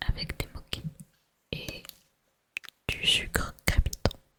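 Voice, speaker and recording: Whispering in a calm tone, a woman speaks at a very slow pace. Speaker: ASMR creator. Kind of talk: ASMR tasting video. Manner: whispered; soft-spoken, calm.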